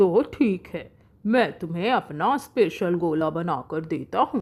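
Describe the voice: A woman uses a cartoonish character voice at a fairly low pitch, slightly mellow with a slightly husky edge. She speaks at a fairly slow pace with lively intonation.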